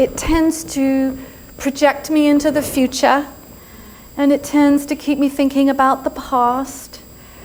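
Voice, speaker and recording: A woman speaks in a high pitch at a fairly slow pace. Her loudness stays very even over noticeable background noise. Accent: English. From England. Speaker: yoga and spirituality teacher, speaker. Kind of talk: inspirational talk. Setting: stage with live audience. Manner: animated.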